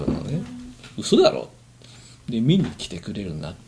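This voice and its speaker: A man's voice with very wide pitch swings. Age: 50s. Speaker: amateur band musician. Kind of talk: casual chat.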